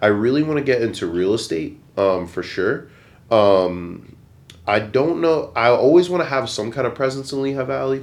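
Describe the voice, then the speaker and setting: Heard with audible room echo, a man with an American accent talks at a medium pitch and moderate pace, his intonation lively. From Pennsylvania, Bethlehem area. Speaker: photographer and entrepreneur. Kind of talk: casual chat.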